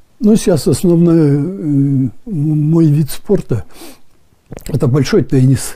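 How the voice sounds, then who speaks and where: Over a quiet background, a man with fairly high pitch, lively intonation and a dark, mellow tone speaks at a very slow pace. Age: 80s+. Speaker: retired firefighter. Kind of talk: interview answer. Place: home room. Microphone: lapel.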